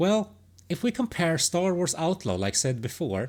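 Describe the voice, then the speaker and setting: A woman with a non-native accent speaks at a moderate pace and fairly low pitch, using vocal fry and very wide pitch swings, in a very clean recording with a silent background. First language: not English. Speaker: gaming commentator. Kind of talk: opinion monologue. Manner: halting, many false starts.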